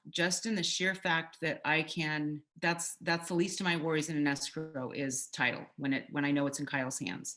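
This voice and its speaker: Loud and at a moderate pace, a woman speaks with a very deep, low pitch. Her tone comes across bright and sharp. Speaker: realtor. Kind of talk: testimonial interview. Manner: animated.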